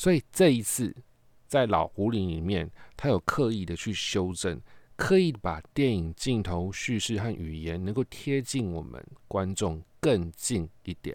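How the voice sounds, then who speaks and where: A man talks fairly slowly in a plain, everyday voice at a fairly low pitch, with lively intonation. The recording is very clean, the background silent. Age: 40s. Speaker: podcast host and film reviewer. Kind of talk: casual monologue film review.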